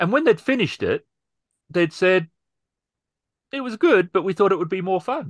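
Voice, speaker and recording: Against a quiet background, a man with a high voice speaks at a moderate pace. His intonation is lively, and the sound is dry with no echo. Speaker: podcast host and role-player; podcast host. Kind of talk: casual chat. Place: home room. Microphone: video call.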